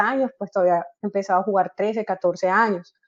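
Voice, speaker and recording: A woman's voice at a fairly quick pace. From Colombia, Barranquilla (Caribbean coast). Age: 30s. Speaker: football coach. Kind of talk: interview. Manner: hesitant, frequent fillers.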